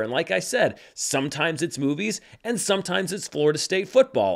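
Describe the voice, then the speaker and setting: The man speaks at a fairly quick pace with lively intonation and an animated tone. The recording is very clean, with a silent background. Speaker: movie commentator. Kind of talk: solo video commentary. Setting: filming alone on camera.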